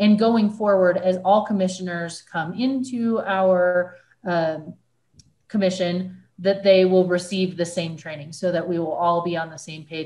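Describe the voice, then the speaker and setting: A woman at a moderate pace, somewhat breathy, with ordinary pitch variation. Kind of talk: meeting chairing remarks. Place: home room. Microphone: video call.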